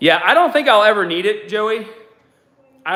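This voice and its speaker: A man with a Boston accent talks at a fairly quick pace and a high pitch, with ordinary pitch variation. Audible room echo surrounds his voice. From US Northeast (Boston). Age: 40s. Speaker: fitness coach / YouTuber. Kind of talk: casual livestream chat while working out.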